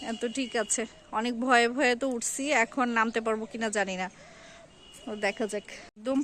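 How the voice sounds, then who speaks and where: A woman's fairly high, monotone voice with flat intonation on a very clean recording with a silent background. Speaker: lifestyle vlogger. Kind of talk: vlog narration. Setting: outdoors on a rooftop.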